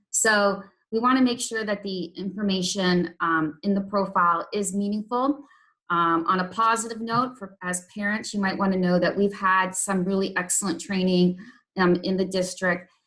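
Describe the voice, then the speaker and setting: A woman's bright, sharp, medium-pitched voice at a moderate pace, with fairly even intonation and a slight Canadian accent. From Canada. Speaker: intervention specialist teacher. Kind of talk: training presentation. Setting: evening meeting with parents. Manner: hesitant, many ums.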